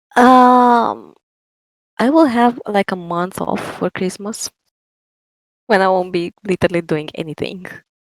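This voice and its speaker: A soft-spoken voice with a strong Romanian accent moves at a fairly slow pace with lively intonation. Long, frequent pauses break it up, and the sound is dry and close with no echo. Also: woman, medium pitch for a woman. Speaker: writer and TikTok creator. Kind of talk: interview.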